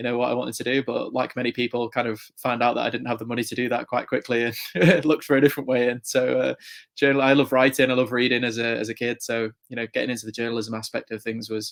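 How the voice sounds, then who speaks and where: A man with an English accent speaks at a very fast pace in a flat monotone, his medium-pitched voice sounding dry and close with no echo. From England, near Chester. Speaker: motorsport journalist. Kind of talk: podcast interview. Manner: repetitive, with many fillers.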